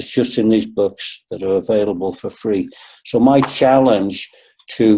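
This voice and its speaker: In an American accent, a man with a dark, mellow tone talks at a moderate pace. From northern England, Liverpool. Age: 60s. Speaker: qigong expert and acupuncturist. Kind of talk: webinar talk. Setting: webinar.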